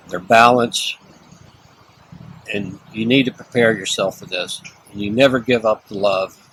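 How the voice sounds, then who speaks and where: A man with a Texan accent, fairly slow, with fairly even intonation, long, frequent pauses, big swings in loudness and noticeable background noise. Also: medium pitch for a man. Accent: Texan American. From Texas. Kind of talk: interview answer.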